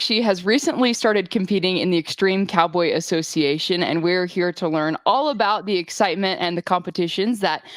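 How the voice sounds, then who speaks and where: With a plain, everyday voice, a woman at medium pitch talks at a fairly quick pace with hardly any pauses and ordinary pitch variation. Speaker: rural news interviewer. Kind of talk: interview questions.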